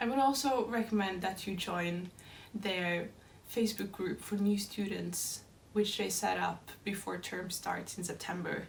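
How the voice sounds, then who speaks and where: At a fairly slow pace, a woman with a Norwegian accent speaks at a medium pitch with ordinary pitch variation. Noticeable background noise and audible room echo accompany her. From Norway. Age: 20s. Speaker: dance student. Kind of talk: scripted narration.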